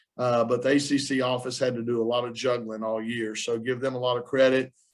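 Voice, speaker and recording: Speaking very fast in a Southern US accent, a man keeps a medium pitch and a monotone, flat intonation. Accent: Southern twang. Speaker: college basketball coach. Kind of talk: press conference. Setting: video call. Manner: casual, halting with fillers.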